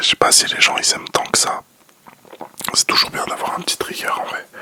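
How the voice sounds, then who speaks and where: Someone whispers over noticeable background noise. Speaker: ASMR content creator. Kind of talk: ASMR whispered casual chat. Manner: whispering; hesitant, many fillers.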